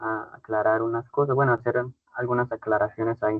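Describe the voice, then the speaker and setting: In a Santander Colombian accent, a man speaks at a fairly quick pace. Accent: Santander Colombian accent, brusque-sounding. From Colombia, Cúcuta (Santander region). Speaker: teacher. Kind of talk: online class. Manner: brusque-sounding.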